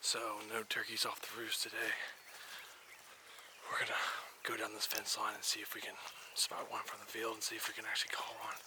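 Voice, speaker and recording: A man whispers at a fairly quick pace with long, frequent pauses, noticeable background noise behind him. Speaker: hunting video host. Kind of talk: casual field narration to camera. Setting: outdoors.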